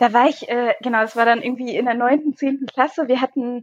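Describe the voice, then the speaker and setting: A woman is speaking. Her voice is high in pitch. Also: quiet background. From northern Germany, Schaumburger Land. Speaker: politician. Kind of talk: casual interview. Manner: hesitant, many fillers.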